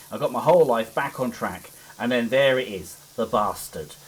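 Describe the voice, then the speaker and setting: Intonation is lively as a man speaks in a Cockney accent. His pitch is medium and his pace moderate. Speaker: gaming YouTuber. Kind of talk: casual let's play commentary. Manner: halting.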